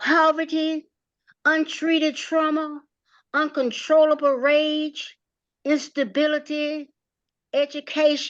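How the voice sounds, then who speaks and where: Against a quiet background, a woman with a high pitch talks at a very slow pace. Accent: Southern US. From rural North Carolina, US South. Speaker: community organizer and playwright. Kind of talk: personal testimony presentation.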